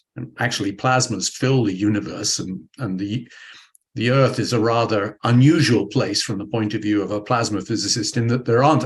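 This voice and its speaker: A man with a British accent speaks at a fairly quick pace and a medium pitch, somewhat breathy. His intonation is fairly even, and the background is quiet. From United Kingdom. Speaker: physics professor. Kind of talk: interview. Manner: hesitant, with many fillers and restarts.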